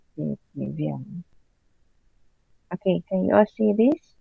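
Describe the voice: At a fairly slow pace, a woman with fairly low pitch speaks with lively intonation, a husky, rough edge and vocal fry, in a dry, close sound with no echo.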